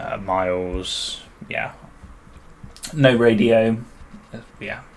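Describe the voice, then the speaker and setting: In audible room echo, a man with a British accent speaks at a very slow pace with ordinary pitch variation. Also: medium pitch for a man. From United Kingdom. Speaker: gaming YouTuber. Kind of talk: gameplay commentary. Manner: casual, hesitant with many fillers.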